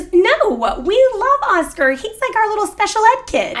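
Using a put-on character voice, a woman speaks at an extremely high pitch with very wide pitch swings and a moderate pace. Light background noise can be heard. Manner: condescending, mocking.

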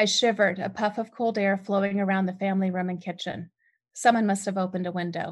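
Speaking at a moderate pace, a woman with an American accent has a medium pitch and a somewhat breathy voice. The background is quiet. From US West Coast, San Diego. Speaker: author and podcaster. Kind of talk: reading aloud.

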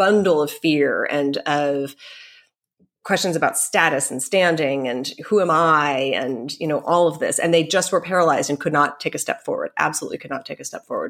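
An ordinary speaking voice from a woman, fairly low in pitch with ordinary pitch variation, at a fairly quick pace, on a very clean recording with a silent background. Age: 40s. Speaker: orchestral flutist. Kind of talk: interview conversation.

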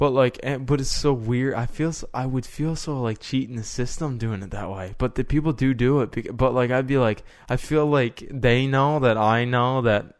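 In a Canadian accent, a man speaks with a plain, everyday voice at medium pitch. He keeps a moderate pace and fairly even intonation. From Canada. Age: 20s. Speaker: podcast co-host. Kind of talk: casual chat.

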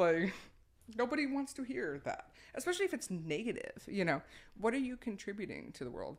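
Fairly quick and fairly high, a woman's voice with vocal fry swings very widely in pitch. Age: 30s. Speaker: adult film actress and director. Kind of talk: casual chat. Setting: her home office.

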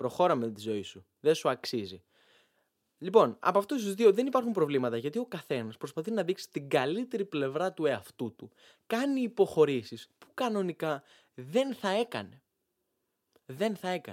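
The voice swings very widely in pitch and greatly in loudness at a moderate pace, recorded dry and close with no echo in a very clean recording with a silent background. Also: man, high pitch for a man. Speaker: podcast host. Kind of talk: comedic monologue.

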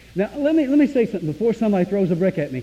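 Amid noticeable background noise, a man with an American accent speaks with very wide pitch swings. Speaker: preacher. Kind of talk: sermon. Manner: animated.

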